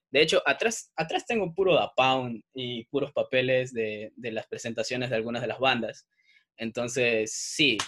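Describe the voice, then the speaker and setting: The sound is dry and close with no echo. A man with a bright, sharp tone speaks at a fairly slow pace. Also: medium pitch for a man, ordinary pitch variation. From Ecuador, Salinas (coastal). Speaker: music journalist. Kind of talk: casual chat.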